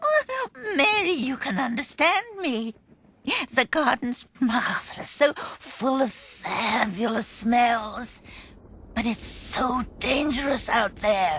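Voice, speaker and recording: A female-sounding, cartoonish character voice with a high pitch speaks at a very slow pace. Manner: nervous, reluctant.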